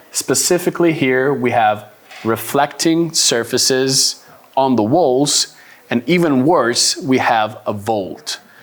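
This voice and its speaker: A man speaks very slowly with an Italian accent. His loudness stays very even. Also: medium pitch for a man, ordinary pitch variation. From Italy. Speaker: export sales manager. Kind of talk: lecture.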